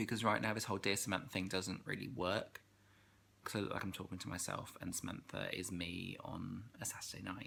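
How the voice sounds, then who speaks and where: A man with a very deep, low pitch and a bright, sharp tone talks at a fairly quick pace with ordinary pitch variation. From England. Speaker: vlogger. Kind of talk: casual vlog chat. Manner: clear diction for the camera.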